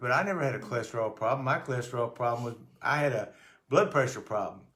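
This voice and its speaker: Audible room echo surrounds a man talking at a very fast pace. His pitch varies in an ordinary way. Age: 80s+. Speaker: weight-loss customer sharing testimonial. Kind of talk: testimony. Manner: halting, with repetitions.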